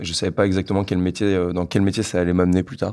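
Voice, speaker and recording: The man's pitch is very deep and low. His recording is very clean, with a silent background. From northern France (Lille). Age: 20s. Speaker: engineer and entrepreneur. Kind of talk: interview testimony. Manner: hesitant, many fillers and repetitions.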